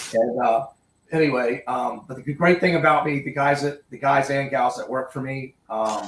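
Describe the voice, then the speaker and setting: A man talks in a plain, everyday voice at a moderate pace, his pitch fairly high. His intonation stays fairly even while his loudness swings widely. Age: 60s. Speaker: angler and contractor. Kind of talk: casual interview.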